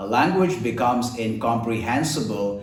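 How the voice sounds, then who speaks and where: Amid noticeable background noise and audible room echo, a man at a medium pitch speaks at a very slow pace. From India, Kerala. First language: Malayalam. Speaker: voice and accent trainer. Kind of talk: tutorial.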